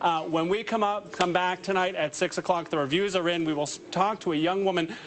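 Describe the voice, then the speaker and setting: A man talks at a very fast pace in a high pitch. Noticeable background noise runs behind him. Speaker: TV news reporter. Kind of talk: live TV news report; news package narration. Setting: on location at a facility opening. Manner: loud; animated.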